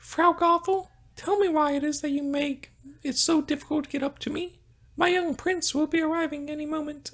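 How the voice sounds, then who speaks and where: Put-on character voice at a moderate pace, pitched high. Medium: read story. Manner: sweet, soft.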